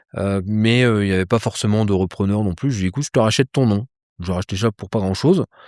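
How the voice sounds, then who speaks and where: At a very fast pace, a man talks at a fairly low pitch with ordinary pitch variation, in a very clean recording with a silent background and dry, close sound with no echo. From France, Troyes. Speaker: polar explorer and ice-diving instructor. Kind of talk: interview. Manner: casual, hesitant with many fillers.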